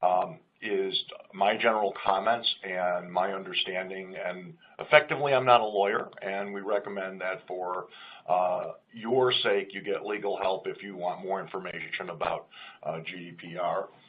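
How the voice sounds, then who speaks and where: Over noticeable background noise, a man with a fairly low pitch speaks at a moderate pace, with ordinary pitch variation and big swings in loudness. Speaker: company CEO and webinar co-host. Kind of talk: webinar presentation.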